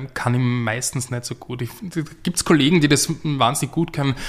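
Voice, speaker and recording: This is a man speaking at a medium pitch. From Austria, Graz. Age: 30s. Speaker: playwright and novelist. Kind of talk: interview. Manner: halting, many fillers.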